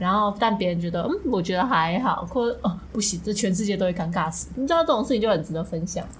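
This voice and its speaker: A woman talks at a very fast pace with hardly any pauses, over noticeable background noise. Her pitch is medium, with ordinary variation. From Kaohsiung, Taiwan. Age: 20s. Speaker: couple podcast co-host. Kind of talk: casual chat.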